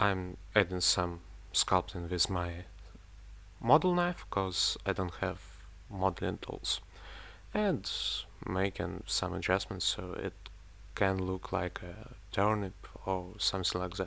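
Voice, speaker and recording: On a very clean recording with a silent background, a man speaks with a non-native accent. He goes at a very slow pace, with long, frequent pauses. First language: not English. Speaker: miniature painting hobbyist. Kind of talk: tutorial voiceover. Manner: casual, slightly halting.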